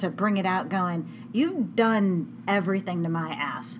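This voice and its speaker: A woman speaks with lively intonation, and audible room echo can be heard. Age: 40s. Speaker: blog podcast host interviewing a fellow adult chat worker. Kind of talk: casual interview chat. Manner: giggly, laughs often.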